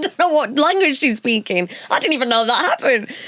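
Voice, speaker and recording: A woman uses a raised, projected voice at a fairly quick pace with very wide pitch swings. Noticeable background noise accompanies her. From northern England, Punjabi household. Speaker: broadcaster and DJ. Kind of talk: interview chat.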